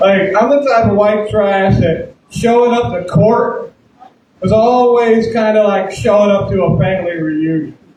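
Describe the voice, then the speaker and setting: Speaking fairly slowly in a Southern US accent, a man with a high pitch uses ordinary pitch variation. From US South, southern Alabama. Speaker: comedian. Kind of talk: stand-up. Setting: stage with audience.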